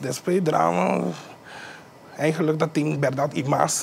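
A man with a fairly high voice speaks at a fairly slow pace, his pitch swinging very widely over light background noise. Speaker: musician. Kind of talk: interview. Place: studio.

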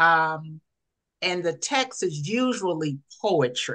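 A woman with an American accent speaks in a fairly bright tone.

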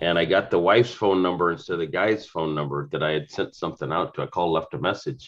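Very deep and low-pitched, a man talks at a fairly quick pace with ordinary pitch variation. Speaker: real estate agent. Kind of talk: group discussion. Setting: video call. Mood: amused, lively storytelling. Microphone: video call.

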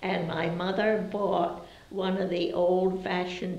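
A woman speaks at a very slow pace with an American accent. Audible room echo surrounds her voice. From Brewster, Massachusetts, Cape Cod. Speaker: longtime local resident, oral history interviewee. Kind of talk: oral history interview answer, recalling childhood memories. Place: home room.

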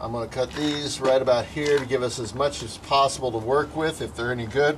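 Noticeable background noise sits under a man talking fairly quickly, his pitch varying in an ordinary way. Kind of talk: casual how-to tutorial narration. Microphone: camera far.

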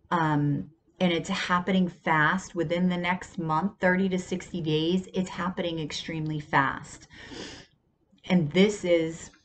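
A woman with a fairly low pitch speaks in a monotone, flat intonation at a very slow pace, with light background noise. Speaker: tarot reader. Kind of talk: casual tarot reading monologue. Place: home room. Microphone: earbuds.

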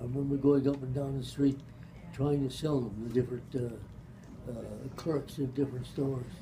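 A man talks while noticeable background noise can be heard. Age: 80s+. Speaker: retired pharmacist. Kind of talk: family storytelling. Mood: relaxed, amused. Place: meeting room. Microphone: camera far.

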